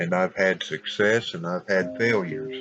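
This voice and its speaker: A man speaks at a moderate pace in a very deep, low pitch. Music plays in the background. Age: 60s. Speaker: religious YouTuber. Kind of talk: farewell video monologue. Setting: at home in a trailer.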